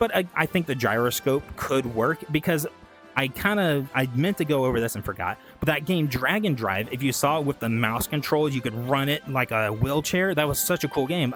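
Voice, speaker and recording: With music in the background, a man speaks in a fairly high pitch and lively intonation. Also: moderate pace. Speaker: VTuber gaming commentator. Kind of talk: casual talk to camera. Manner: stuttering, rambling.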